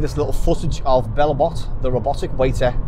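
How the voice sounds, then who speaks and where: Fairly quick pace from a man amid noticeable background noise. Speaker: vlogger. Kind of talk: casual vlog chat. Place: car. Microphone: lapel.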